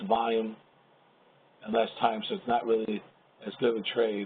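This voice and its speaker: The man's intonation is fairly even. His pitch sits at a medium level. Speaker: trader and trading educator. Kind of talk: webinar presentation. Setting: live webinar. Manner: fast.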